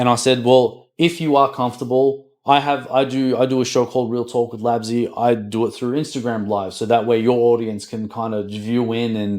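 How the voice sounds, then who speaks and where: On a very clean recording with a silent background, a man with an Australian accent talks at a medium pitch and a moderate pace with hardly any pauses. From Australia (Melbourne). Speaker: podcast host. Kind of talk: casual interview chat. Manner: animated.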